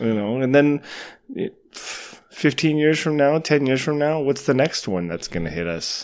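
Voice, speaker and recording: Using a normal speaking voice, a man speaks at a fairly slow pace. His fairly high pitch carries lively intonation. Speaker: podcast host. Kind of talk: casual chat. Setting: cottage dining room.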